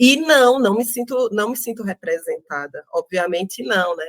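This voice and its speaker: A woman speaks with a northeastern Brazilian accent. Her intonation is lively. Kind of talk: interview. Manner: halting, many fillers.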